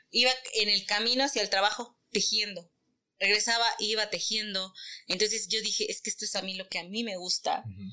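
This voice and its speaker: Her tone bright and sharp, a woman speaks at a fairly high pitch and fairly quick pace with fairly even intonation. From Mexico, Teziutlán, Puebla. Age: 30s. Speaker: textile artisan and entrepreneur. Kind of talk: interview.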